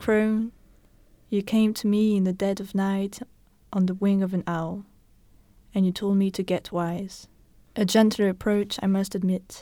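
Speaking in a non-native accent, a woman uses a dark, mellow tone at medium pitch with flat, monotone delivery, a fairly slow pace and long, frequent pauses, all on a very clean recording with a silent background. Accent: foreign accent in English. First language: not English. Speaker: podcast co-host. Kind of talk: reading poetry aloud.

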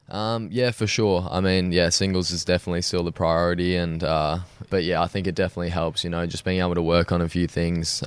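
A man with an Australian accent, very deep and low in pitch, fairly quick and monotone with flat intonation. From Australia, Sydney. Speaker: professional tennis player. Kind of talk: interview.

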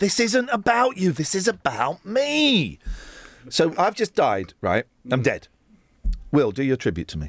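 On a dry, close sound with no echo, a man speaks at a high pitch and a fairly slow pace, with very wide pitch swings and long, frequent pauses. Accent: southern English. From Buckinghamshire, England. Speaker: breakfast radio host. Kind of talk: casual chat. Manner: animated.

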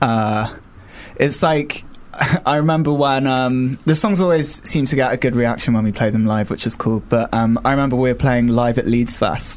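A man talks in an ordinary speaking voice at a medium pitch with ordinary pitch variation. His pace is moderate and his loudness very even. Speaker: indie band member. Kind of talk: casual interview.

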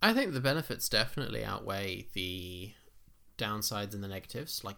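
Bright and sharp in tone yet fairly low in pitch, a man speaks with vocal fry at a moderate pace on a very clean recording with a silent background. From Kenya. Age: 20s. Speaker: podcast co-host, design student. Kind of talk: casual chat.

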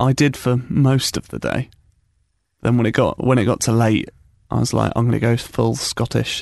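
Over a quiet background, a man with a British accent speaks at a moderate pace. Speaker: radio host. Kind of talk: casual chat. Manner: joking, banter.

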